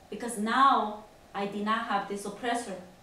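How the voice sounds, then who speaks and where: Amid noticeable background noise and audible room echo, a woman talks in a fairly high pitch with fairly even intonation. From Honduras. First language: Spanish. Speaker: immigrant interviewee. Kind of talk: interview testimony. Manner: halting.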